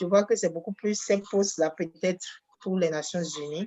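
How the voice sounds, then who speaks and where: This woman has a normal speaking voice, fairly low in pitch, with ordinary pitch variation. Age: 40s. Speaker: workshop participant, pharmaceutical sales rep. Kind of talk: question from participant.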